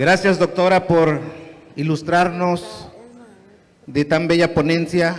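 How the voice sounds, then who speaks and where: A high-pitched man with a Mexican accent, a very slow pace, long and frequent pauses, and fairly even intonation, over noticeable background noise. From Guerrero, Mexico. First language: Nahuatl (speaking Spanish). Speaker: teacher. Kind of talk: audience question at a lecture. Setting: auditorium with audience.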